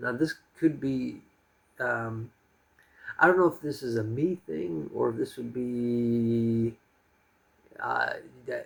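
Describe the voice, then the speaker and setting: A man with an American accent at a very slow pace, somewhat breathy, with ordinary pitch variation, big swings in loudness and long, frequent pauses. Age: 40s. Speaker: expat vlogger and English teacher. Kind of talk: casual monologue vlog. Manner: calm; halting with fillers.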